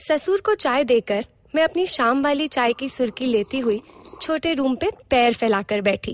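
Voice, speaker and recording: A woman speaks in a high-pitched voice. The sound is dry and close, with no echo. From India, Mathura (Uttar Pradesh). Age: 50s. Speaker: storyteller. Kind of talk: storytelling narration.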